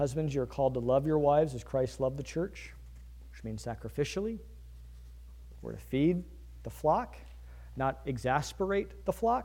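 With an American accent, a man talks at a moderate pace, his loudness swinging widely. Long, frequent pauses break up his speech, and room echo can be heard. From Virginia. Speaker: pastor. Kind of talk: sermon.

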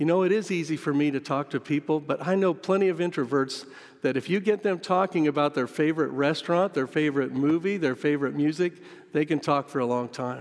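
The speaker is a man with an unremarkable speaking voice. His pitch is fairly high and varies in an ordinary way. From US Midwest, western Kansas. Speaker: missionary pastor. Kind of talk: sermon. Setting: church sanctuary.

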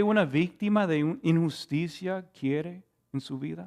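A very slow-paced male voice with lively intonation. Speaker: preacher. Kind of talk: sermon. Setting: church with Zoom stream. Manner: earnest, teacherly expository delivery; halting, repeats words and stumbles.

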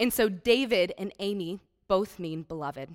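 A woman with a Midwestern American accent speaks at a medium pitch with ordinary pitch variation, on a very clean recording with a silent background. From US Midwest, Iowa. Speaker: charity speaker. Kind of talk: church talk.

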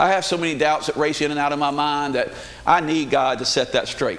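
A man with a Southern US accent at a fairly quick pace, with audible room echo. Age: 50s. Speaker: lay preacher. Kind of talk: sermon. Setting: church.

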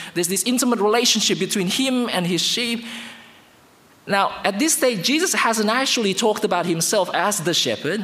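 There is noticeable background noise behind this man. He talks at a fairly quick pace with ordinary pitch variation. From Indonesia. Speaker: guest preacher. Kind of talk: sermon. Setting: church.

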